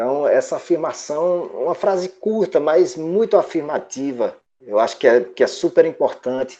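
With hardly any pauses, a man talks at a moderate pace. The background is quiet. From Paulo Afonso, Bahia, Brazil. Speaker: guitarist. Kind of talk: interview. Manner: halting, repeats words.

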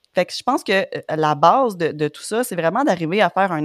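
On a very clean recording with a silent background and a dry, close sound with no echo, a woman with an unremarkable speaking voice and fairly low pitch talks at a moderate pace with lively intonation. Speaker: podcast host. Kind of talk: interview.

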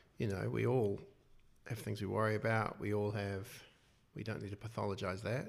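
A man speaks at a fairly quick pace with fairly low pitch and vocal fry, his intonation fairly even, broken by long, frequent pauses, with audible room echo. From New Zealand, Wellington. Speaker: clinical psychologist and author. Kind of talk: interview.

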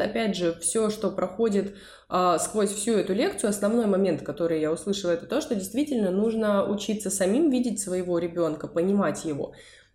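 At a fairly quick pace, a woman uses a normal speaking voice at medium pitch, with ordinary pitch variation and very even loudness. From Russia, Saint Petersburg. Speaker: podcast co-host, psychologist. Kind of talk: casual chat.

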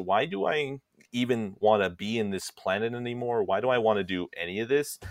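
With a normal speaking voice, a man talks at a moderate pace and medium pitch, the sound dry and close with no echo. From Texas. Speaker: guest co-host. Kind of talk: casual comedic chat.

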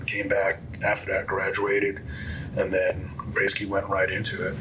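A man talks fairly fast, and noticeable noise runs in the background. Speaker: police officer, podcast guest. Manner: monotone, calm, doesn't get excited.

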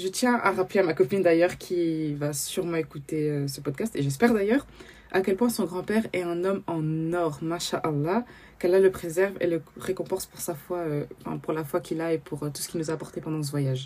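At a fairly quick pace, a woman talks with a fairly low pitch. Her pitch variation is ordinary, and there is noticeable background noise. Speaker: podcast host. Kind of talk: personal testimony. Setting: at home, early morning.

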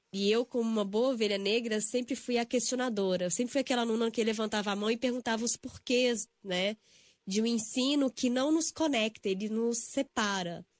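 A woman's ordinary speaking voice at a fairly high pitch, with ordinary pitch variation, very even loudness and a moderate pace, in a dry, close sound with no echo and a very clean recording with a silent background. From Brazil, Belo Horizonte (Minas Gerais). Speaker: yoga and spiritual healing instructor. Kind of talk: casual interview. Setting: radio studio.

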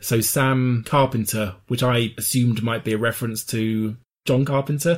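Medium in pitch, this man has a plain, everyday voice. He keeps a moderate pace and fairly even intonation. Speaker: podcast co-host. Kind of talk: casual chat.

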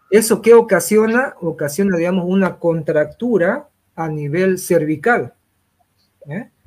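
A man talks with a high pitch. His loudness swings widely. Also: ordinary pitch variation. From Santa Cruz, Bolivia. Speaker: sports physician. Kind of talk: interview.

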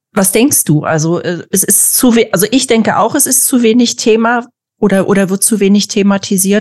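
A woman speaks at a moderate pace in a normal speaking voice, her pitch medium. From former East Germany. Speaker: podcast host. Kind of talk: casual interview.

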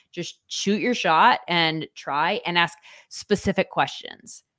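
A woman at a fairly low pitch with ordinary pitch variation, in a very clean recording with a silent background. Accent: American. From Southern California (Orange County). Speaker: sports broadcaster. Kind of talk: casual interview.

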